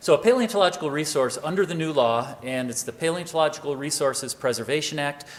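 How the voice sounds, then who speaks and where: Over noticeable background noise, a man talks at a very fast pace with hardly any pauses, at fairly high pitch and with ordinary pitch variation. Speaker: government agency official. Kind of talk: conference presentation. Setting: conference hall with audience.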